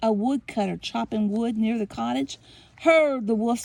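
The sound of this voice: An unforced reading voice fills the clip.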